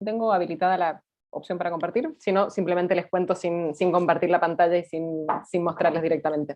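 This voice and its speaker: A woman is speaking. Her pace is fairly quick. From Chile. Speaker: fact-checking organization director. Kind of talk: talk presentation. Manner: halting, repeats words.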